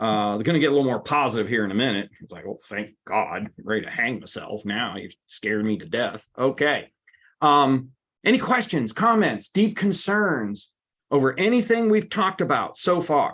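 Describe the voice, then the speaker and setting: Fairly high-pitched man at a moderate pace, with very wide pitch swings and big swings in loudness, against a quiet background. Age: 60s. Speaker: workshop presenter on stress. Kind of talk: webinar presentation. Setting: online webinar. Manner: animated.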